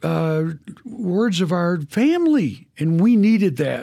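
Pitched high, a man with a Texan accent is captured on a very clean recording with a silent background. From Texas. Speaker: camp ministry president. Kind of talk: faith testimony interview. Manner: halting.

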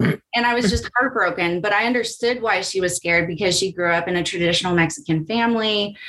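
In an American accent, a woman speaks very fast at medium pitch, with ordinary pitch variation and very even loudness. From California. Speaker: customer education staff. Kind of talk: casual chat.

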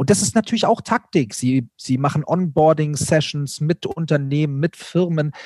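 A man talks at a moderate pace with hardly any pauses, his fairly high voice somewhat breathy. The sound is dry and close, with no echo. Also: ordinary pitch variation. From Bavaria, Germany. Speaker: content creator, YouTuber. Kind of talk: casual chat.

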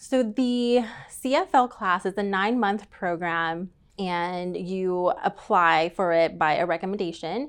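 An unremarkable speaking voice from a woman with an American accent, at a fairly slow pace, medium pitch and ordinary pitch variation, over a quiet background. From East Texas, Tyler. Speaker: accountant. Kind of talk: casual interview.

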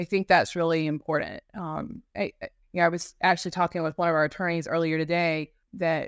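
On a very clean recording with a silent background and a dry, close sound with no echo, a woman with an American accent and an unremarkable speaking voice speaks at a moderate pace with fairly low pitch. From North Carolina mountains. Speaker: law firm business development director. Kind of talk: casual interview.

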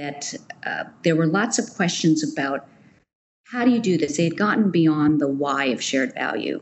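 Her voice very deep and low, a woman with an American accent speaks at a moderate pace with very wide pitch swings. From United States. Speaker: nonprofit managing director. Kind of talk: interview.

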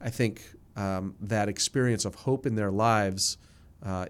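A normal speaking voice at a fairly slow pace, with an American accent. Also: man. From New Jersey, near New York City. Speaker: nonprofit ministry chief executive. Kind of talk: casual interview chat.

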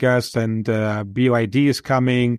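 A man with a German accent speaks at a medium pitch. The recording is very clean and close, with a silent background and no echo. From Germany. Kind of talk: interview.

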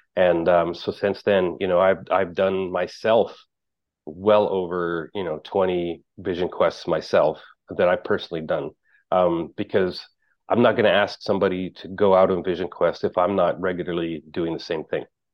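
A man speaks with a very deep, low pitch. His intonation is monotone and flat at a moderate pace. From Canada, northern Alberta. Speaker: vision quest facilitator. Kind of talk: casual interview. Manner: halting, many fillers.

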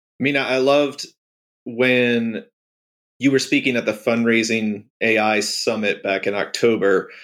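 On a very clean recording with a silent background, a man with an unremarkable speaking voice speaks at a fairly slow pace, with a medium pitch and fairly even intonation. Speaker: podcast co-host. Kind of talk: casual interview conversation.

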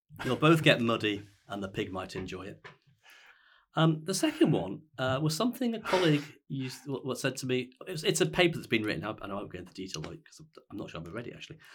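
A man talks at a very fast pace with very wide pitch swings and vocal fry. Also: very clean recording, silent background. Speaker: university vice chancellor. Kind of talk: interview about leadership.

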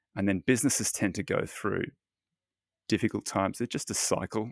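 Fairly low in pitch, a man talks at a fairly quick pace. The sound is dry and close with no echo, and the recording is very clean against a silent background. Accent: Australian. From Australia. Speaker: fund manager and author. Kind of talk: interview. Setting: home office.

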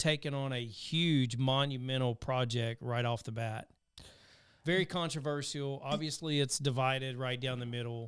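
A man with a Southern US accent, medium-pitched, at a fairly slow pace, on a very clean recording with a silent background. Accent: Southern twang. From US South. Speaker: podcast host. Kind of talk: casual interview conversation.

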